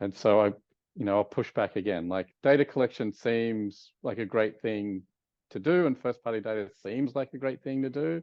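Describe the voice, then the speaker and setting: A man with an Australian accent speaks at a fairly quick pace with ordinary pitch variation. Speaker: advertising executive. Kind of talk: interview.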